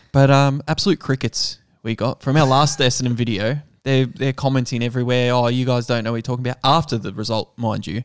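Here a man with an Australian accent talks at a very fast pace and medium pitch with fairly even intonation, on a very clean recording with a silent background and a dry, close sound with no echo. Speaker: sports betting podcast host. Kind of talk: casual chat.

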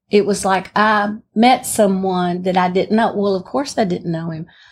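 In a very clean recording with a silent background, a woman with a Southern US accent speaks with ordinary pitch variation. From Alabama, US South. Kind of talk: testimony. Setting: stage with audience.

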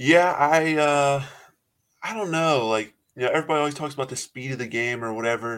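A man's fairly high, fairly quick voice with ordinary pitch variation, an ordinary speaking voice. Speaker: college basketball player. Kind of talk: casual interview. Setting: podcast interview.

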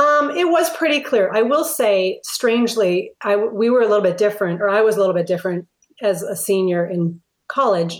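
An unremarkable speaking voice moves at a fairly quick pace, with lively intonation and very even loudness. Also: woman. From Minnesota (Minneapolis). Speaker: retired pastor. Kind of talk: interview conversation.

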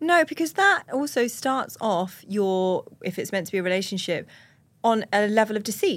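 At a moderate pace, a woman with a plain, everyday voice speaks at a fairly high pitch with lively intonation, on a very clean recording with a silent background. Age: 30s. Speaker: podcast co-host. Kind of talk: casual chat.

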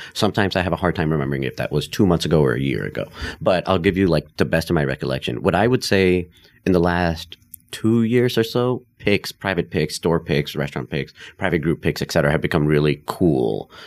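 This man's voice is very deep and low, with vocal fry. He talks at a fairly quick pace with lively intonation. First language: Hindi. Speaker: liquor store owner. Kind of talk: casual chat.

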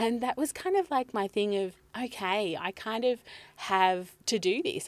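With an Australian accent, a woman talks at a moderate pace using lively intonation. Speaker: business coach and marketing speaker. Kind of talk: casual interview. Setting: podcast van by a lake.

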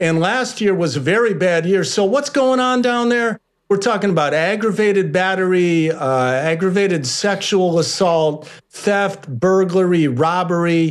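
A man with an American accent talks at a fairly slow pace in a high pitch. His intonation is lively while his loudness stays very even. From Chicago. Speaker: journalist and author. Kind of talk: interview.

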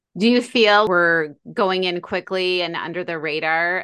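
At a fairly slow pace, a woman speaks in a normal speaking voice, fairly low in pitch and with fairly even intonation. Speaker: podcast host. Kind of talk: scripted intro and casual interview.

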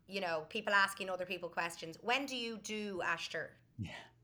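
A woman with a Dublin accent speaks at a moderate pace in a medium pitch, her tone bright and sharp. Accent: Dublin Irish. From Ireland, Dublin. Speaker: early childhood educator and teacher. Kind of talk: casual interview. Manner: talkative.

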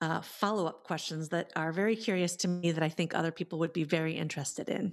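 A woman speaks with an American accent in an ordinary speaking voice. The background is quiet. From Iowa. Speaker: podcast host, entrepreneur. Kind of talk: interview chat.

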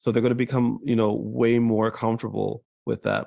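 Against a quiet background, a man with a fairly low pitch talks at a moderate pace in a monotone, flat intonation. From New Jersey. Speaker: mental health advocate and content creator. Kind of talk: interview conversation.

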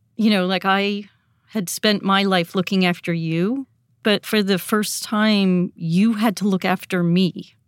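A woman speaks at a fairly slow pace in an ordinary speaking voice, her pitch medium and her intonation fairly even. Loudness stays very even, and the recording is very clean with a silent background. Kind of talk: conversational interview.

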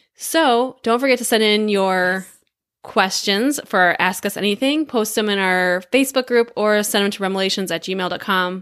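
A woman with an American accent uses a normal speaking voice at medium pitch and a moderate pace, with ordinary pitch variation. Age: 40s. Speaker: podcast co-host. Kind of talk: casual chat.

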